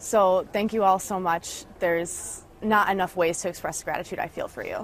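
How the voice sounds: The speaker is a woman with a fairly low pitch. Her pitch varies in an ordinary way.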